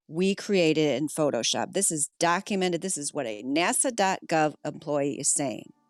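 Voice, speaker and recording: A woman's very deep, low voice with lively intonation and hardly any pauses, dry and close with no echo, music playing in the background. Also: moderate pace. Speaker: flat earth debater. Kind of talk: heated debate.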